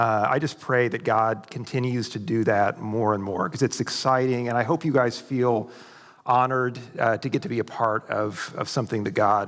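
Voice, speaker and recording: Speaking at a moderate pace with an American accent, the man has a medium pitch, ordinary pitch variation, and a normal speaking voice. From US Midwest, Ozarks of southwest Missouri. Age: 50s. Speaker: conference speaker, academic. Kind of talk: church conference talk. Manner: casual, many filler words.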